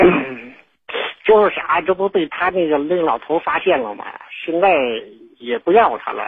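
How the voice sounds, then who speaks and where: A man talks in a high pitch at a fairly slow pace with lively intonation. Long, frequent pauses break up his speech. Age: 40s. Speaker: caller. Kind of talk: phone-in confession. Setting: phone call. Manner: halting, hesitant.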